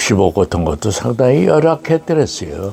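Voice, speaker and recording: A man speaks over noticeable background noise. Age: 90s. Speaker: war correspondent. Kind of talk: interview testimony. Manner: halting.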